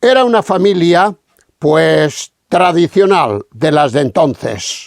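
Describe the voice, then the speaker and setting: A man speaks at a very slow pace and a high pitch, with very wide pitch swings. The sound is dry and close, with no echo. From Spain, Castilla-La Mancha. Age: 70s. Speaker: radio speaker giving religious testimony. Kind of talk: testimony.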